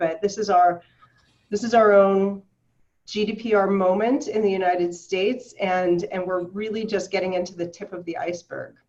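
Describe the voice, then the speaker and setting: Using a normal speaking voice, a woman talks at a medium pitch and moderate pace with fairly even intonation. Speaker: privacy lawyer. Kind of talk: webinar presentation.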